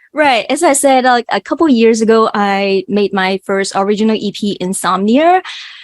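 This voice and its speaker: In a strong Cantonese accent, a woman speaks at a fairly high pitch with lively intonation, a moderate pace and hardly any pauses. The background is quiet, and the sound is dry and close with no echo. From Hong Kong. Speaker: singer and math educator. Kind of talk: interview.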